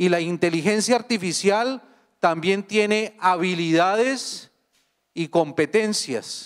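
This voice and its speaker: Speaking at a very slow pace with a Colombian accent, a man with a high-pitched voice and ordinary pitch variation comes through on a very clean recording with a silent background. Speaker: international organization expert, academic speaker. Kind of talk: conference talk.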